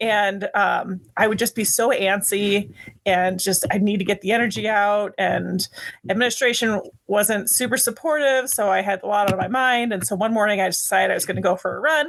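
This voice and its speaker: A woman's ordinary speaking voice with an American accent, medium in pitch, at a moderate pace with ordinary pitch variation. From US Midwest. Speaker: band director, marathon runner. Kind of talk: casual podcast interview.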